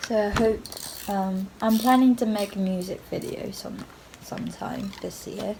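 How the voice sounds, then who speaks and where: A woman at a fairly slow pace and medium pitch, monotone and flat in intonation, over noticeable background noise. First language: Japanese. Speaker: singer-songwriter vlogger. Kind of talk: casual vlog talk. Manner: halting, many fillers.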